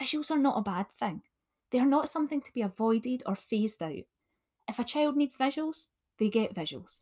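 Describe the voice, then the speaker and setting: With a Scottish accent, a woman speaks fairly quickly in a high voice with very wide pitch swings. The sound is dry and close, with no echo. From Scotland. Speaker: additional support needs teacher. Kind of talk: solo podcast talk, teaching tips.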